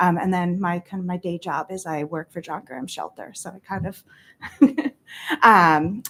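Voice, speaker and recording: A woman's fairly low pitch in a normal speaking voice, with ordinary pitch variation at a moderate pace. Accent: American. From Vermont, US (Middlebury). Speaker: state representative. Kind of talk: public meeting testimony. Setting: town board meeting.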